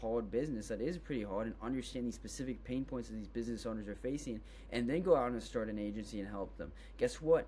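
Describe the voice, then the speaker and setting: Audible room echo follows a man talking at a very fast pace. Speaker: business tutorial creator. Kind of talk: tutorial. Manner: casual, filler-heavy.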